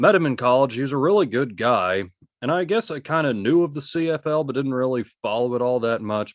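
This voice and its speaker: A man with an American accent and an ordinary speaking voice at a fairly quick pace, in a very clean recording with a silent background. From United States. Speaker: sports podcast host. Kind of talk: casual chat.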